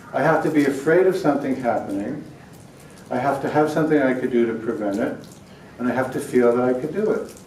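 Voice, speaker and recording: Noticeable background noise and audible room echo surround a man talking fairly quickly at a medium pitch. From New York. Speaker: prevention expert speaker. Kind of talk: conference lecture. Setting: conference hall with audience.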